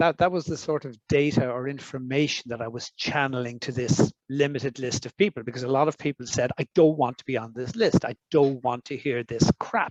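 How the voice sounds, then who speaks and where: In an Irish accent, a man talks at a fairly quick pace with fairly even intonation. The sound is dry and close, with no echo. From Ireland. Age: 60s. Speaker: foresight expert. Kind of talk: interview. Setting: summer school with audience. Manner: halting.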